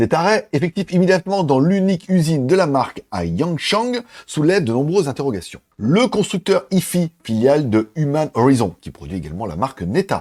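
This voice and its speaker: On a very clean recording with a silent background and a dry, close sound with no echo, a man with a fairly high pitch speaks at a moderate pace with hardly any pauses and very wide pitch swings. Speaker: tech news youtuber. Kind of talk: news commentary. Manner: casual.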